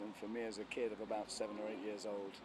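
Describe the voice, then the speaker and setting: With an American accent, a man speaks at a fairly quick pace in a fairly low pitch. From London, England. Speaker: musician. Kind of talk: interview.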